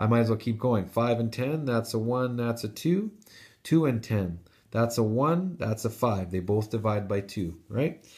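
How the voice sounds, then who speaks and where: Somewhat breathy speech at a moderate pace comes through on a very clean recording with a silent background. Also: man, medium pitch for a man, ordinary pitch variation. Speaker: math teacher. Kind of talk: tutorial.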